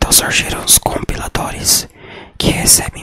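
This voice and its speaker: Whispering at a fairly slow pace, a man is heard with a dry, close sound and no echo. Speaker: programming teacher. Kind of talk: ASMR educational whisper. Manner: whispered.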